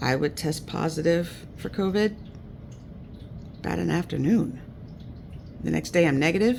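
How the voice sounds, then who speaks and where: Speaking at a moderate pace, a man with vocal fry and a fairly high pitch uses lively intonation. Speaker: vlogger. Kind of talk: casual chat.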